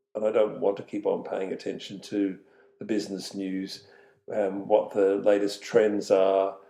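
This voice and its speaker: Here a man talks in an Australian accent. His delivery is fairly slow. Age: 70s. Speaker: retired business owner and community volunteer. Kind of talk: podcast interview. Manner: halting, many fillers.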